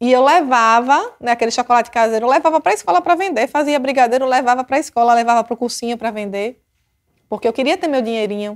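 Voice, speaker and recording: A woman with a strong Sergipe accent talks very fast in a high pitch with ordinary pitch variation. Her tone is animated, and the sound is dry and close with no echo. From Brazil, Sergipe (Aracaju). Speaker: police chief. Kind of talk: personal storytelling.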